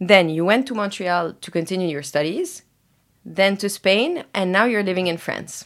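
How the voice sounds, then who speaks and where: A woman speaks at a medium pitch and a moderate pace, with ordinary pitch variation and big swings in loudness. It is a plain, everyday voice. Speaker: podcast host. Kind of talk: interview.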